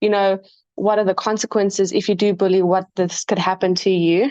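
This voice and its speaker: A woman with a shaky, medium-pitched voice talks at a moderate pace in a dry, close recording with no echo. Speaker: student. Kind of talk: class presentation.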